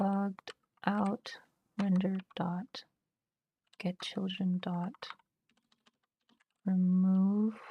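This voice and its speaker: At a very slow pace, a woman speaks at medium pitch with a dark, mellow, somewhat breathy tone, captured dry and close with no echo. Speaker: programming streamer. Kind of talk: live coding stream, thinking aloud. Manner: hesitant, many fillers.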